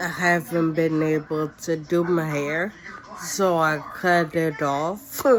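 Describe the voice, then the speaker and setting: At a very slow pace, a woman speaks with a fairly low pitch, fairly even intonation and very even loudness, with noticeable background noise. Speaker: vlogger sharing her illness story. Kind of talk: personal testimony to camera. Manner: slow, effortful speech; halting with many fillers.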